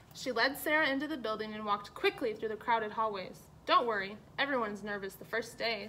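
This is reading aloud in a natural voice. It is a read passage.

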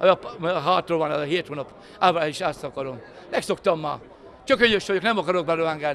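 Fairly quick in pace, a man speaks at a high pitch with ordinary pitch variation over light background noise. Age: 60s. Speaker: factory worker. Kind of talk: interview. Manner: halting. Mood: relaxed, good-humoured. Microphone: handheld.

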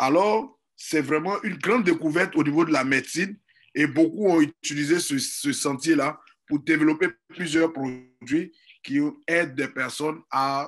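A man with a plain, everyday voice, fairly high in pitch, with ordinary pitch variation and a fairly slow pace. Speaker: network marketing leader. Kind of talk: sales pitch.

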